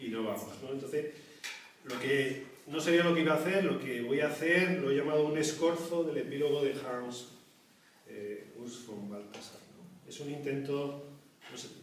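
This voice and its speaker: Amid noticeable background noise and audible room echo, a man with fairly high pitch talks at a moderate pace, with ordinary pitch variation, big swings in loudness, and long, frequent pauses. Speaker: panel speaker and teacher. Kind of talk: round table talk. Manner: soft-spoken; hesitant, many fillers.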